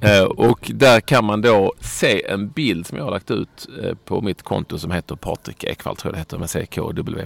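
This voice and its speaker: With an unremarkable speaking voice, a man speaks at a fairly low pitch and moderate pace, with ordinary pitch variation, hardly any pauses, and a dry, close sound with no echo. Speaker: football podcast host. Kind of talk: casual chat.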